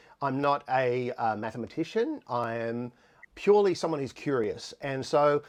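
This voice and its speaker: Against a quiet background, a man with an Australian accent talks at a fairly high pitch with very wide pitch swings. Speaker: musician and live stream host. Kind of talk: live stream tutorial. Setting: home studio, live stream. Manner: fast.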